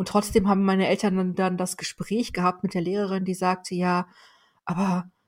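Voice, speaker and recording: A woman's normal speaking voice at medium pitch and a moderate pace. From northern Germany, Weserbergland countryside. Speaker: corporate learning executive. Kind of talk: interview.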